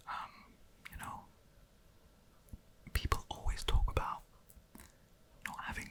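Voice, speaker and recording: Whispered speech with a relaxed tone comes through noticeable background noise. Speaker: ASMR content creator. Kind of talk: whispered ASMR talk to camera about creativity and time. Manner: whispering, relaxed, hesitant with many fillers.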